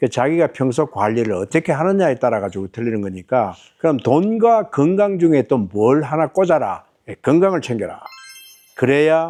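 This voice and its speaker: A man with a fairly high voice and a dark, mellow tone speaks at a moderate pace, his pitch swinging very widely. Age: 70s. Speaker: retired businessman. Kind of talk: casual advice talk.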